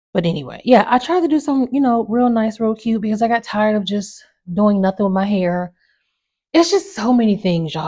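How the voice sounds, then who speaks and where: Somewhat breathy woman with a fairly high pitch and lively intonation. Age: 30s. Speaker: podcast host. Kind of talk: casual chat. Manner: animated.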